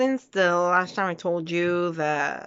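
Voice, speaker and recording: Speaking very slowly, a woman with a Quebec accent uses a fairly low pitch. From Quebec, Canada. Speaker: vlogger. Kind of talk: casual vlog monologue. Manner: halting, many fillers.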